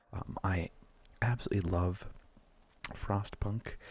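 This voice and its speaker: Soft-spoken, a man talks at a fairly slow pace. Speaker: ASMR gaming video creator. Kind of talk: casual gaming commentary, soft-spoken ASMR. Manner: soft-spoken, rambling.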